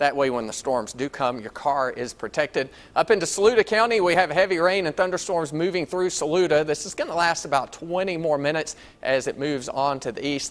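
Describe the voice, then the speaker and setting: In an unremarkable speaking voice, a man talks at a fairly quick pace with a fairly high pitch and ordinary pitch variation. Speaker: TV meteorologist. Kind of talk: TV weather broadcast. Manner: clear, authoritative.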